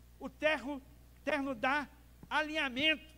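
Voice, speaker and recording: A man speaks at an extremely high pitch. His raised, projected voice has a bright, sharp tone. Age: 60s. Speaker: pastor. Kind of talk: sermon. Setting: church. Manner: animated.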